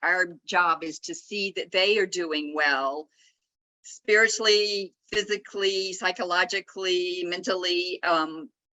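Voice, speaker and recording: With a Southern US accent, a woman talks at a fairly slow pace. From US South, Atlanta, Georgia. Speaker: author. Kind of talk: casual interview. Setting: video call from a conference nook.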